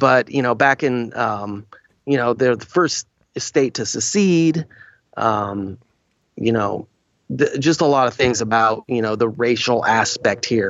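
A man's unremarkable speaking voice, medium in pitch, fairly slow, with ordinary pitch variation. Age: 40s. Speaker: actor. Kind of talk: casual chat.

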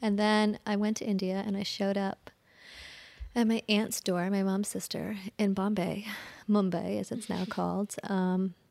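A medium-pitched woman with a General American accent at a moderate pace, on a very clean recording with a silent background. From US Midwest. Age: 40s. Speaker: energy healer, former lawyer. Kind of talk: interview conversation. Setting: studio.

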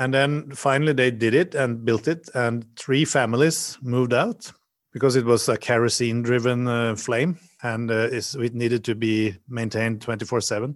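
Speaking in a Norwegian accent, a man keeps a medium pitch and fairly even intonation at a moderate pace. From Norway. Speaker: hotel designer. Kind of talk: interview. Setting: video call.

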